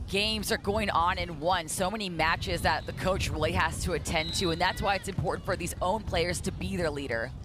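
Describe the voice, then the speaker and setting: Music plays in the background while a man talks at a fairly quick pace. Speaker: sports color analyst. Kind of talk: live sports color commentary.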